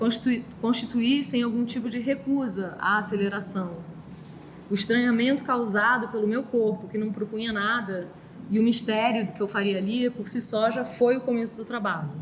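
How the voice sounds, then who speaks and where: Noticeable background noise sits behind a woman with a fairly high pitch. She talks at a moderate pace with fairly even intonation. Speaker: artist. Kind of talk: talk reading from text. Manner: soft-spoken.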